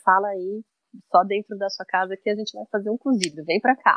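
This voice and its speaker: This woman has an unremarkable speaking voice, medium in pitch and moderate in pace. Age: 40s. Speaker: cook and agroecology advocate. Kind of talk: interview conversation.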